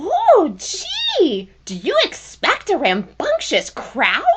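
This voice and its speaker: A woman's put-on character voice, extremely high in pitch, at a very slow pace. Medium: audio drama. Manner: chirpy, teasing.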